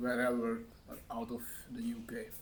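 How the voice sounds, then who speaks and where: With a Hungarian accent, a man speaks at a medium pitch in a monotone, flat intonation, and audible room echo surrounds him. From Hungary. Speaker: vlogger. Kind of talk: casual monologue to camera. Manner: halting, many fillers.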